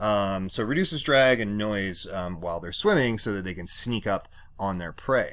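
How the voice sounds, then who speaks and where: A man with a normal speaking voice talks at a moderate pace, his fairly low pitch showing ordinary variation, in a very clean recording with a silent background. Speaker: science teacher. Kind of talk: recorded lecture. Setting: home basement. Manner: many fillers (um, uh).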